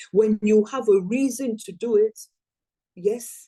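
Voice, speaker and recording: A woman with a dark, mellow tone talks fairly slowly, her voice somewhat breathy. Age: 60s. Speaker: network marketing business trainer. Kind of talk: motivational training talk.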